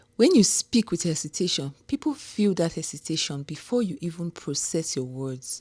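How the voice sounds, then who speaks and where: A woman's somewhat breathy voice with a Nigerian accent and lively intonation. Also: hardly any pauses. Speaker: homecare business owner. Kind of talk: casual talk to camera. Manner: slow.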